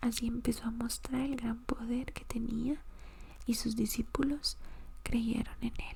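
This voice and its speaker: Words come out very slowly. The speaker is soft-spoken. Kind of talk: Bible reading.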